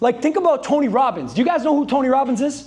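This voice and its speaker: A man's extremely high voice with lively intonation. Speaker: sales coach. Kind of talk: motivational talk to a live audience. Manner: loud; high-energy.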